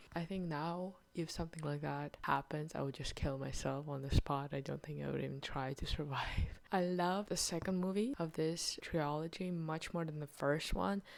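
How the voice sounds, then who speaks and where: With a non-native accent, a woman talks at a moderate pace in a very deep, low pitch, leaving hardly any pauses. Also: ordinary pitch variation. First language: not English. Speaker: video blogger reviewing books and films. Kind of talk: casual monthly review monologue.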